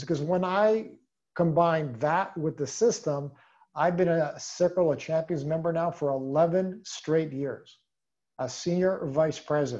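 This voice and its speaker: Over a quiet background, a man is talking. His pace is fairly slow. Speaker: sales team leader. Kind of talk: motivational training talk. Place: home room. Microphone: video call.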